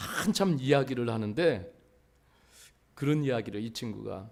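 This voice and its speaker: This man talks at a fairly slow pace. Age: 60s. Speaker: pastor. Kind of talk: sermon. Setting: church.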